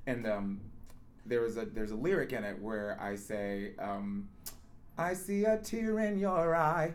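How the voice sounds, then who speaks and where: There is audible room echo around a man's medium-pitched voice. He speaks fairly slowly with very wide pitch swings. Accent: American. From Las Vegas, Nevada. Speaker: Broadway ensemble performer. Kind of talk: casual interview.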